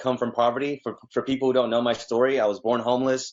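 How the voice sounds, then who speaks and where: With a Spanish accent, this man speaks at a medium pitch. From Mexico, then Texas. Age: 20s. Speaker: realtor and business consultant. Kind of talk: interview.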